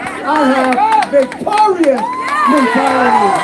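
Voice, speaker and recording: An animated tone carries over crowd noise in the background, with audible room echo. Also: man. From Mexico. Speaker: rally emcee and speaker. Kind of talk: public speech at a rally.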